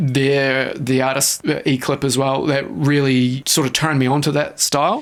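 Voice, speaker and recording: Over noticeable background noise, a man with a fairly high pitch and a relaxed tone speaks at a moderate pace, with fairly even intonation, very even loudness, and hardly any pauses. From New Zealand. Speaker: electronic music producer and production teacher. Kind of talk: radio interview answer. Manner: casual, relaxed.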